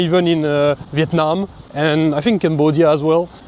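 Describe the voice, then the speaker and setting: A man talks while background noise is clearly noticeable. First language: not English. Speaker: travel vlogger. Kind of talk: travel vlog narration. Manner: casual, halting.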